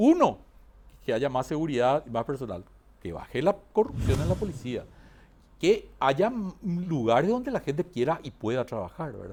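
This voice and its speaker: Vocal fry, very wide pitch swings, long and frequent pauses, all at a moderate pace. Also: man, fairly high pitch for a man. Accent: Paraguayan. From Paraguay. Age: 60s. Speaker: accountant and university lecturer. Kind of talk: interview conversation. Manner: halting.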